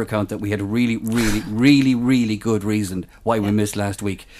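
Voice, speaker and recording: Speaking at a very fast pace, a man with an Irish accent holds a medium pitch. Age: 40s. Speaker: podcast co-host. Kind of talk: casual chat.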